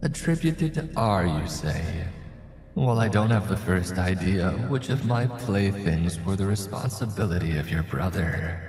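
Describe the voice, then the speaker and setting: A put-on character voice speaks at a moderate pace with a playful tone. There is clear echo. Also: man, fairly low pitch for a man. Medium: read story. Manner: silky, mocking, playful menace.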